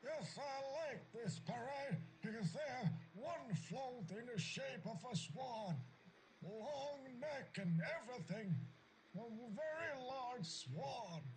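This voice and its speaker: A man does a put-on character voice at an extremely high pitch and a very slow pace. Clear background noise can be heard. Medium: video game. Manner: deadpan, terse.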